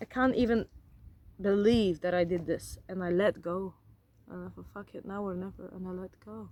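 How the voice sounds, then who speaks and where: A woman with a non-native accent speaks at medium pitch and a moderate pace, her tone dark and mellow. Her pitch varies in an ordinary way, while her loudness swings widely. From grew up in a forest region abroad. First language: not English. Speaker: vlogger, former flight attendant. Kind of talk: casual vlog monologue. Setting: outdoors. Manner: animated.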